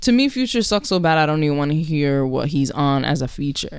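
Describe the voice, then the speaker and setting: Very deep, low pitch from a woman at a moderate pace. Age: 20s. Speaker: podcast co-host. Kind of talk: casual chat.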